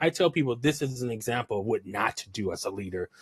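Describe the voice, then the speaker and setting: A man talks very fast with lively intonation in a somewhat breathy voice, recorded dry and close with no echo. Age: 30s. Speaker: podcast host. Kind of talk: interview podcast.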